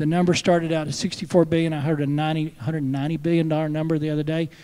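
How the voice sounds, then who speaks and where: Fairly high-pitched for a man, this voice has a dark, mellow tone. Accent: West Texas. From Texas, Lubbock area. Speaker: state senator. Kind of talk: panel discussion. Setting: stage with audience at a conference. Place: stage. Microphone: handheld.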